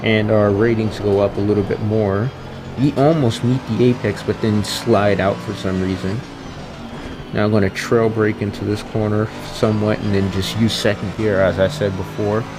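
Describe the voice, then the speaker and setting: With music playing in the background, a man speaks in a fairly low voice with fairly even intonation. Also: moderate pace. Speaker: gaming youtuber. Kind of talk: gameplay commentary. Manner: casual.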